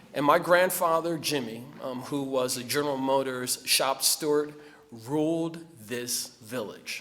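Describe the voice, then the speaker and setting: Fairly slow speech in a New Jersey accent. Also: man. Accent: New Jersey American. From New Jersey (Trenton area). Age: 50s. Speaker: award honoree, community leader. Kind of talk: acceptance speech.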